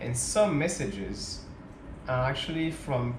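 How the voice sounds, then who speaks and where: With ordinary pitch variation, a man talks in a French accent amid audible room echo and noticeable background noise. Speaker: tech startup founder, vlogger. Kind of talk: casual storytelling vlog. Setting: home at night, alone to camera. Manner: hesitant, many fillers.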